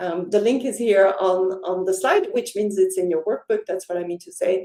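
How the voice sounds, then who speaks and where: A woman's warm, enthusiastic tone in a Dutch accent, with ordinary pitch variation. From Netherlands. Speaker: life coach. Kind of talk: sales pitch.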